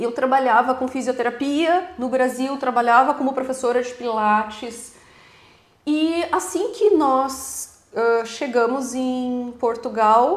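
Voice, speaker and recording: With a slight southern Brazilian accent, the speaker talks at a very slow pace with ordinary pitch variation. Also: woman, high pitch for a woman. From southern Brazil, Rio Grande do Sul. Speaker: physiotherapist, immigrant. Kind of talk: casual interview.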